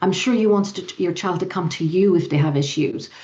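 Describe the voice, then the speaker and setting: A woman's dark, mellow voice with lively intonation and audible room echo. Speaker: youth and family program director. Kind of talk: conference presentation; panel Q&A answer. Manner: fast; halting, many fillers.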